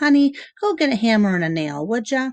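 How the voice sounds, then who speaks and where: A woman speeds along at a fairly quick pace in a fairly high put-on character voice with very wide pitch swings. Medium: read story.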